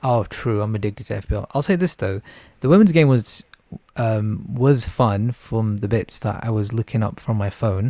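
The man's tone is dark and mellow, with a British accent. He speaks at a moderate pace, and the sound is dry and close with no echo. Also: very clean recording, silent background. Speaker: podcast co-host. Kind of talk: casual chat.

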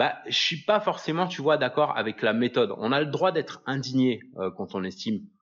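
This man's pitch sits in the medium range. He keeps to a moderate pace. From France. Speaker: podcast host, online business coach. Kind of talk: solo podcast monologue. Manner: casual, hesitant with fillers.

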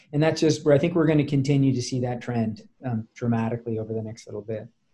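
Speaking at a fairly quick pace, a man with a medium-pitched, somewhat breathy voice of dark, mellow tone keeps his intonation fairly even. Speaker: startup founder and CEO. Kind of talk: podcast interview.

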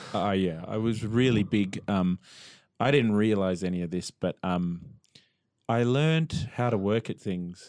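A man with an Australian accent, fairly low-pitched, at a fairly slow pace, with ordinary pitch variation, over a quiet background. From Australia (Melbourne). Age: 40s. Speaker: musician. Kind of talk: casual interview chat.

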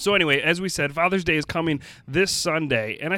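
Speaking at a moderate pace with ordinary pitch variation, a man has an unremarkable speaking voice. The recording is very clean, with a silent background. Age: 30s. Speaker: podcast host, church ministry. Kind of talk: casual chat.

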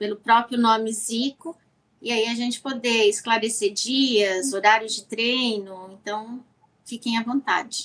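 Speaking at a fairly slow pace, a woman with a fairly high pitch keeps her intonation fairly even while her loudness swings widely, in an unremarkable speaking voice. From Brazil. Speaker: business owner, sponsor. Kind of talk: casual interview.

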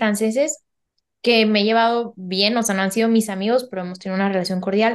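At a moderate pace, the voice comes through against a quiet background. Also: woman. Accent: Mexican. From Mexico. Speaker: geneticist and painter. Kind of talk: casual interview chat.

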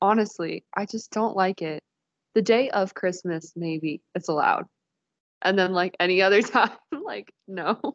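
A woman in a normal speaking voice, medium in pitch with ordinary pitch variation, at a fairly slow pace, in a dry, close sound with no echo. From Dayton, Ohio. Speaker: dietetics student. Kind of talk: casual chat.

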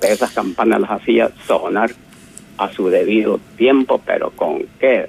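A man's very slow speech, dry and close with no echo, over music in the background. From El Salvador. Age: 70s. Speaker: caller. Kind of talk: testimony.

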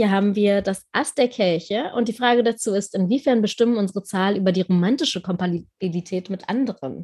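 The voice heard here is an unremarkable speaking voice. Its pitch varies in an ordinary way, and the pace is fairly quick. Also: woman. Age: 20s. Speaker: podcast host, tarot reader. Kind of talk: interview.

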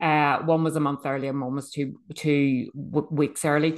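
With a Northern Irish accent, a woman speaks in a very deep, low voice against a quiet background. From Northern Ireland, Bangor. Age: 50s. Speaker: podcast host. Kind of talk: personal testimony monologue. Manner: halting, self-correcting.

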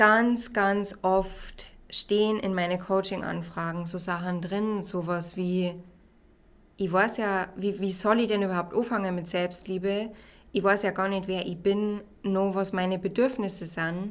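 Her medium-pitched voice moves at a fairly slow pace as this woman speaks. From Bavaria, Regensburg. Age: 20s. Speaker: podcast host and life coach. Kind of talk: solo self-help podcast talk. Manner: enthusiastic, warm.

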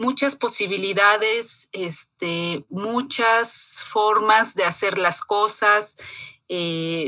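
Her voice is fairly high-pitched for a woman, with a bright, sharp tone. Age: 40s. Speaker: feminist foundation staff. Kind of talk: interview.

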